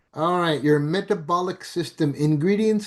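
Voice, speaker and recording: A man talks in a normal speaking voice with ordinary pitch variation. The background is quiet. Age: 60s. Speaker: network marketing presenter. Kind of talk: sales pitch. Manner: casual, filler-heavy.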